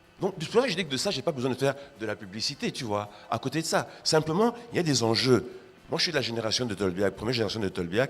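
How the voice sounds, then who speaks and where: A man's medium-pitched, animated voice with very wide pitch swings and a very fast pace. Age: 60s. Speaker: art critic and writer. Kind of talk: panel discussion.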